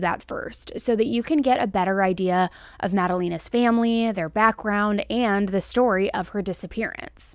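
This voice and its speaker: The background is quiet and the sound dry with no echo as a woman speaks at a moderate pace. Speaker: true crime host. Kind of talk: commentary. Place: home room. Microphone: studio mic.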